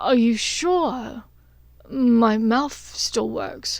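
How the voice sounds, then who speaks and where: A woman mumbles in a high-pitched, put-on character voice. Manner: hopeful, suggestive.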